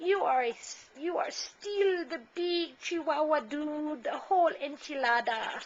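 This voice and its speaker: A woman puts on a character voice at a high pitch and a fairly slow pace. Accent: Spanish. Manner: playful, silly.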